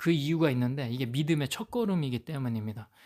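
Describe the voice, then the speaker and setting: A man speaks at a medium pitch with ordinary pitch variation and a fairly quick pace. The recording is very clean, with a silent background. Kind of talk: Bible teaching monologue. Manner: halting, with fillers.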